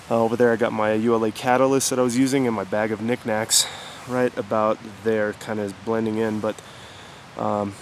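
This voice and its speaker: A man's flat, monotone voice, dry with no echo, over light background noise. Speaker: hiker vlogger. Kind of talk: casual vlog chat. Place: forest. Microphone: phone near.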